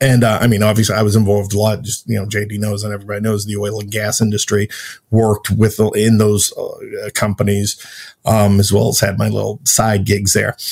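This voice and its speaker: A somewhat breathy man speaks at a fairly low pitch and a fairly quick pace in a monotone, flat intonation. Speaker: former military and intelligence officer. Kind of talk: casual interview. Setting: video call.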